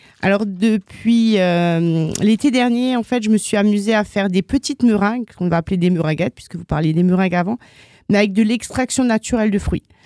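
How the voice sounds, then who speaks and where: At a fairly quick pace, a woman of medium pitch with a dark, mellow tone and ordinary pitch variation speaks in a dry, close, very clean recording with no echo and a silent background. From Alsace, France. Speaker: business owner. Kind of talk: radio interview.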